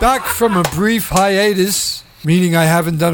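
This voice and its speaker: Over noticeable background noise, a man speaks in a high voice at a moderate pace. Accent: American. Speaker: radio host. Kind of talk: radio dj patter. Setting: studio. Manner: irreverent, profane.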